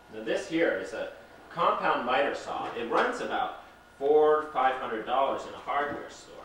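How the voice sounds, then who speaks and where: Big swings in loudness from a man at a moderate pace, noticeable background noise underneath. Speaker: home renovator. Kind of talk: mock home improvement show presenting.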